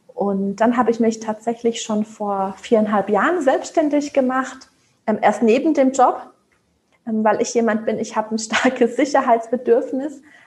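A woman with an unremarkable speaking voice and a fairly high pitch speaks at a fairly slow pace with ordinary pitch variation. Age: 30s. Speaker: job application coach. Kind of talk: casual chat.

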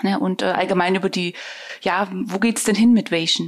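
A woman is speaking. Her pace is fairly quick. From eastern Germany. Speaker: podcast host. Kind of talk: interview.

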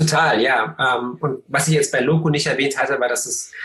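A man is speaking here. He talks at a moderate pace. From eastern Germany, Cottbus. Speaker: tech founder and investor. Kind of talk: interview. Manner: relaxed; halting, many fillers.

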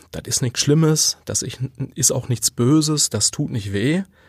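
A man's voice, with ordinary pitch variation, comes through a very clean recording against a silent background. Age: 40s. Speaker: podcast host and leadership coach. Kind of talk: solo monologue on self-improvement. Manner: conversational with filler words.

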